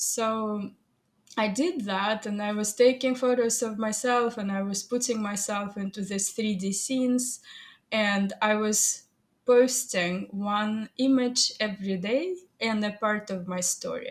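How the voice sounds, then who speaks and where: A woman speaks with a Russian accent at a fairly high pitch. Her voice is somewhat breathy. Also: fairly even intonation. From Soviet Union. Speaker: AI artist and photographer. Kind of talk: interview. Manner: halting.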